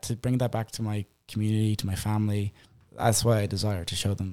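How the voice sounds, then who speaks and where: A man with a strong Irish accent, fairly low pitch and a dark, mellow tone, monotone and flat at a fairly quick pace, on a very clean recording with a silent background. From Ireland, Boyle, County Roscommon. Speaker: missionary. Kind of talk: casual chat.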